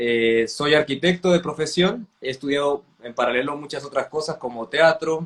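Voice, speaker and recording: This man has an unremarkable speaking voice, fairly high in pitch, and talks at a moderate pace with ordinary pitch variation. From Mexico (Veracruz, Chiapas). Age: 30s. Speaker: architect and theatre director. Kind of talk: casual interview chat.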